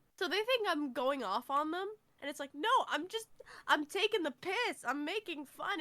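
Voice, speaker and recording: A woman speaks in a raised, projected voice with a bright, sharp tone, her pitch swinging very widely at a moderate pace. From Ireland. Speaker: podcast co-host. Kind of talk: casual chat. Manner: sarcastic; animated.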